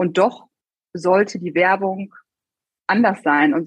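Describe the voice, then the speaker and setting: A woman is speaking at a moderate pace. Her pitch sits in the medium range. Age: 30s. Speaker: regional marketing manager at an insurer. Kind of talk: interview.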